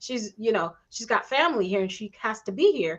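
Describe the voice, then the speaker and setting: A woman with a fairly high voice talks at a moderate pace, her pitch swinging very widely. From South America (Caribbean, British English-speaking). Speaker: leadership coach and podcast host. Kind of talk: casual interview conversation. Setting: live stream.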